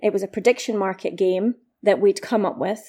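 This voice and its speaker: A woman with a Scottish accent speaks in a dark, mellow tone. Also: very clean recording, silent background. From east coast of Scotland. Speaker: startup founder. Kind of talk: interview.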